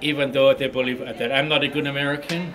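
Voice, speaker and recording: Amid noticeable background noise and audible room echo, a man talks in a fairly high pitch with fairly even intonation. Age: 60s. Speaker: ousted school board member. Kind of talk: press interview. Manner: halting, many fillers.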